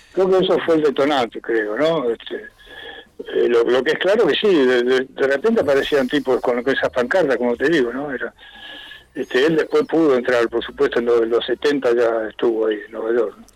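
A man with a medium-pitched voice and ordinary pitch variation talks over noticeable background noise. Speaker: rock musician, pianist. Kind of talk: interview.

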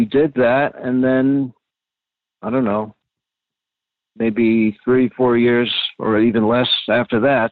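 Very slow and monotone, the speech has flat intonation broken by long, frequent pauses. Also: man, medium pitch for a man. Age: 60s. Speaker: interviewee, reporter's father. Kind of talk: casual family interview. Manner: halting.

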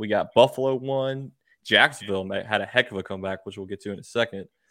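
A man at a medium pitch with ordinary pitch variation, on a very clean recording with a silent background. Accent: Southern US. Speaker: sports podcast host. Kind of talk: casual chat.

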